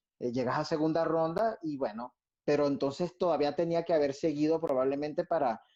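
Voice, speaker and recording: At a fairly quick pace, a man speaks in a fairly high pitch with a dark, mellow tone. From Venezuela. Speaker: violinist and orchestra conductor. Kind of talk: interview answer. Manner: casual, reflective.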